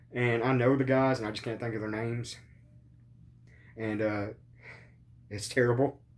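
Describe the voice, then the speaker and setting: A man's medium-pitched voice at a moderate pace, with long, frequent pauses and audible room echo. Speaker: wrestling podcast host. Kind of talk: casual chat. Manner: halting.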